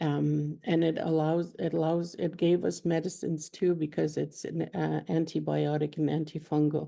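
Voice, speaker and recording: Against a quiet background, a woman speaks with very even loudness and hardly any pauses. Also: moderate pace. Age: 60s. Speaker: elder and former teacher. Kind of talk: personal sharing at a seminar. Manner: halting, repetitive.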